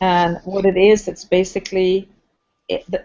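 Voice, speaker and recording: At a fairly slow pace, a woman of medium pitch speaks with a Swedish accent. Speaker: team coordinator. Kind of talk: casual chat. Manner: halting.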